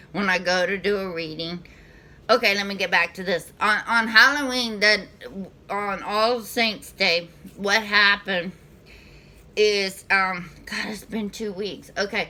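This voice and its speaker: A woman talks fairly slowly in a Southern US accent, her pitch medium and her tone bright and sharp. Her intonation stays fairly even while her loudness swings widely. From US South. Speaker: spiritual reader / channel host. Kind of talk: casual spiritual vlog monologue. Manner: halting, many fillers and restarts.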